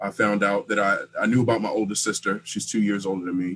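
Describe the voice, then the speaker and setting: A man with an ordinary speaking voice talks at a fairly quick pace and fairly low pitch. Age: 20s. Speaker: interviewee sharing family story. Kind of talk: personal testimony in interview.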